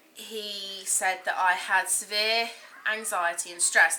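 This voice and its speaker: Speaking with an English accent, a woman keeps a fairly even intonation at a medium pitch. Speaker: vlogger. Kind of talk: personal vlog testimony. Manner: hesitant, many ums.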